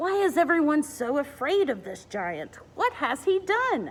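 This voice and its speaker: Putting on a character voice, a woman speaks at a moderate pace and high pitch with very wide pitch swings. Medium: read story. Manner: cheerful, plucky.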